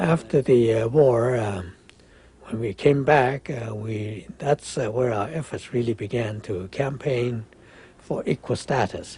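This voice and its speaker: At a fairly slow pace, a man talks at a medium pitch, somewhat breathy with a dark, mellow tone and ordinary pitch variation. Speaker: war veteran. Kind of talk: testimony.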